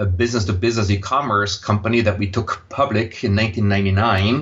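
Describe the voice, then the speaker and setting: The speaker has an Austrian accent and ordinary pitch variation. The pace is moderate. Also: man. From Austria, Vienna. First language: German. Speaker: impact investor. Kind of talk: interview. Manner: hesitant, many fillers.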